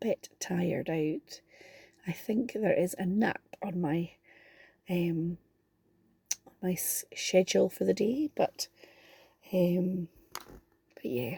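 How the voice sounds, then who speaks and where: A woman with a Scottish accent speaks at a medium pitch with ordinary pitch variation. Her tone is dark and mellow. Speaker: card-making crafter. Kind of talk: casual chat in a crafting tutorial. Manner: quiet, saving her voice.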